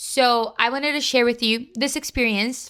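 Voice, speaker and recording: The tone is bright and sharp, the pace moderate, and the pitch varies in an ordinary way. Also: woman. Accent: Brazilian Portuguese. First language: Portuguese. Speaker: youtuber. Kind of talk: casual vlog talk.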